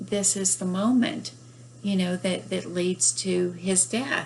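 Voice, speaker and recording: A woman speaks with a Southern US accent. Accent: Southern US, despite northern origin. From northern US. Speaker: book reviewer and author. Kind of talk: book review. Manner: hesitant, many fillers.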